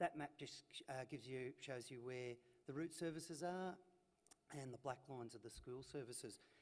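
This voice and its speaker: A man with an Australian accent speaks at a medium pitch with ordinary pitch variation. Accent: Australian drawl. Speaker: transport manager. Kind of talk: conference presentation. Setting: stage with audience. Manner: hesitant, many fillers.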